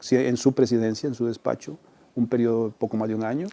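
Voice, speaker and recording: In a plain, everyday voice, a man speaks at a medium pitch with fairly even intonation. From Costa Rica, Central Valley. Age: 60s. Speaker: retired journalist. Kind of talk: interview conversation. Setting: restaurant.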